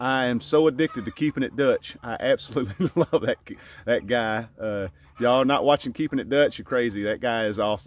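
The pace is fairly quick with ordinary pitch variation. The sound is dry with no echo. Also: man. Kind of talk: casual vlog chat. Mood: friendly, laughing. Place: farm. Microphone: phone near.

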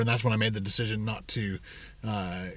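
Somewhat breathy, a man speaks in a dry sound with no echo. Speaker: vlogger. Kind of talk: casual vlog chat. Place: car. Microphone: phone near.

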